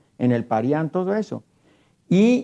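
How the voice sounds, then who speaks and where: Over a quiet background, a man with a Mexican accent speaks in a dark, mellow tone at a fairly high pitch with very wide pitch swings. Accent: Mexican Spanish (Jalisco). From Mexico, southwest Jalisco (near Cocula); Jalisco, Mexico. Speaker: traditional mariachi musician; guest. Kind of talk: televised panel discussion. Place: studio. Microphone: lapel.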